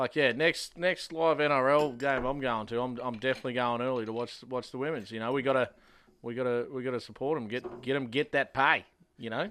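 Fairly even intonation from a man with an Australian accent at a fairly quick pace. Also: medium pitch for a man. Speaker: podcast co-host. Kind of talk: casual chat.

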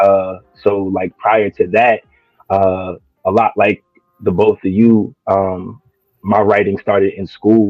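A man with a New Jersey accent, very slow pace, long and frequent pauses, fairly low pitch and monotone, flat intonation. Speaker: spoken word poet. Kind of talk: casual chat.

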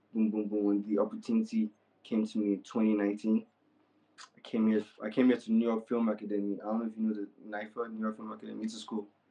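Very fast and fairly low-pitched, a man speaks with an American accent. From Nigeria, with childhood in Texas and years in the UK. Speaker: film and music video director. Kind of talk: casual interview. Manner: animated.

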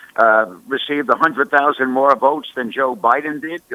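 A man talks at a moderate pace in a medium pitch. It is an ordinary speaking voice. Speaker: professor and author. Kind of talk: political discussion.

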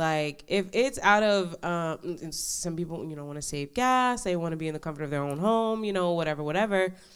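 A woman with an American accent, medium pitch, lively intonation, a moderate pace and a normal speaking voice. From New York. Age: 20s. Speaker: law enforcement officer. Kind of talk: casual chat.

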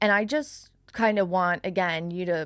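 A woman with a Long Island accent, fairly low pitch and ordinary pitch variation, at a fairly slow pace on a very clean recording with a silent background. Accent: Long Island New York. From New York, Long Island. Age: 20s. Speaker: business owner. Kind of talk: casual chat. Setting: studio. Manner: loud.

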